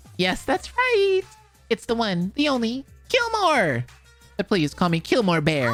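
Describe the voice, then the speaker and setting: A put-on character voice, fairly high and fairly slow, with faint music in the background. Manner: showy, jokey.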